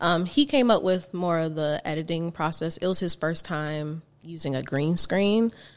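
A woman with an ordinary speaking voice talks at a moderate pace, with fairly low pitch and ordinary pitch variation. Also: hardly any pauses. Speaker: singer and violinist. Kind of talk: casual interview chat.

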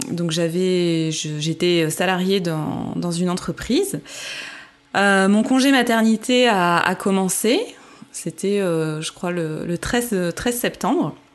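Speaking very slowly, a woman uses a medium pitch. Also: ordinary pitch variation. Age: 30s. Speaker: mother sharing birth story. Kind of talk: testimony. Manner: hesitant, many fillers.

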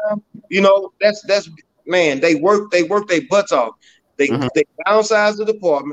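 With an American accent, a man speaks at a high pitch with ordinary pitch variation in a dry, close sound with no echo. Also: moderate pace. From Beaumont, Texas (North End). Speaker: mayoral candidate. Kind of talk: casual interview.

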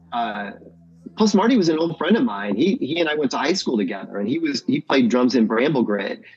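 Over noticeable background noise, a man talks at a fairly quick pace in a fairly high voice with very wide pitch swings. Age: 50s. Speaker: musician. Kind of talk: casual chat. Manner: halting.

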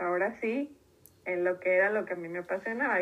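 In an ordinary speaking voice, a woman talks at a medium pitch with fairly even intonation. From Mexico, Tijuana. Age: 30s. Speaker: environmental consultant. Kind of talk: interview.

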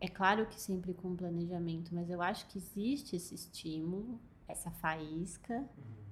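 A woman's somewhat breathy voice, lively in intonation and moderate in pace. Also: fairly low pitch for a woman. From interior of São Paulo state, Brazil. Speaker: illustrator. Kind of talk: interview.

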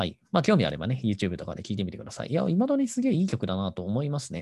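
The voice has a dark, mellow tone and very wide pitch swings. The background is quiet. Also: man. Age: 30s. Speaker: podcast host. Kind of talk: casual solo talk.

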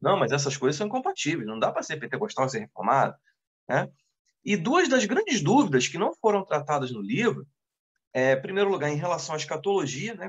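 Speaking at a fairly quick pace, a man uses a fairly high pitch with very wide pitch swings. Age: 30s. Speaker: deacon and seminary teacher. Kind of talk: casual chat. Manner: halting.

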